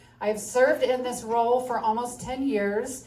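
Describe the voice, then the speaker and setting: A moderate pace and fairly even intonation in an American accent, with audible room echo. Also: woman. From upstate New York. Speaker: county commissioner candidate. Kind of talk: candidate forum speech.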